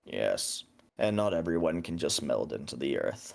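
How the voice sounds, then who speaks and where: A man's raspy, put-on character voice. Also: moderate pace. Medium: actual play. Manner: terse, calm.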